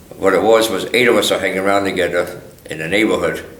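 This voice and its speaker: In a room with audible echo, a man with a fairly low pitch speaks at a fairly quick pace in an American accent. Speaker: war veteran. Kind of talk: oral history interview. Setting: museum interview.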